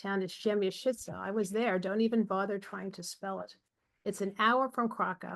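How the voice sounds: The background stays quiet. A natural reading voice carries fairly even intonation.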